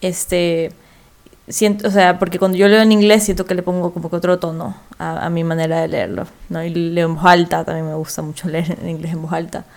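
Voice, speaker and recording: A woman talks at a moderate pace with monotone, flat intonation. Her pitch sits fairly low. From Ecuador. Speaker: writer. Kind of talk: casual chat.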